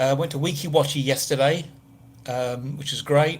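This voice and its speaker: A man with an English accent speaks in a fairly high, somewhat breathy voice. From southern England. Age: 50s. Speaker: travel vlogger. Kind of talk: casual live stream chat. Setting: hotel room. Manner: chatty, rambling, casual.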